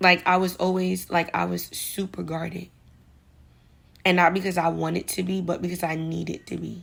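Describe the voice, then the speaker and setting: At a moderate pace, a woman speaks in a New York accent. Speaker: vlogger giving advice. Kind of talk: casual monologue vlog. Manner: casual, slangy.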